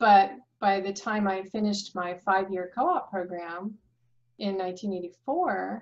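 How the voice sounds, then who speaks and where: The speaker has an American accent and talks at a very slow pace. The intonation stays fairly even. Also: woman. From US East Coast. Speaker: structural engineer, firm founder; podcast guest. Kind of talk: casual interview. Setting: video or phone call. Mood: relaxed, reminiscing. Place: home room. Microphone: webcam.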